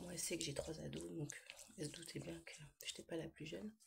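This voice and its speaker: A woman is speaking. Her tone is relaxed. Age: 40s. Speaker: vlogger. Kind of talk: casual chat.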